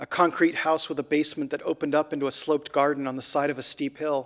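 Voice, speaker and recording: Talking at a very fast pace, a man with a fairly high pitch keeps a fairly even intonation in a dry, close sound with no echo. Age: 40s. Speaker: science fiction author. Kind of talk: reading aloud from own fiction. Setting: stage with live and online audience.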